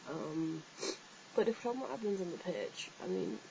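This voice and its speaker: Over noticeable background noise, a woman with an English accent talks at a very fast pace. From northeast England, Billingham near Middlesbrough. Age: 20s. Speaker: vlogger, fan page admin. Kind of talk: casual vlog, answering viewer questions. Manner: hesitant, many fillers.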